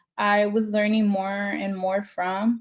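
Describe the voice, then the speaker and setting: Speaking at a fairly slow pace with a Spanish accent, a woman keeps a fairly high pitch in a monotone, flat delivery. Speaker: community college alumna. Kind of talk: panel interview.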